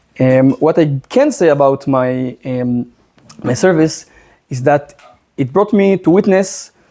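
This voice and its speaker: A man with a strong Israeli accent speaks at a fairly high pitch with ordinary pitch variation. His tone is dark and mellow. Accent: thick Israeli. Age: 30s. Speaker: social media commentator. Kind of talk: presentation. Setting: in a house with audience.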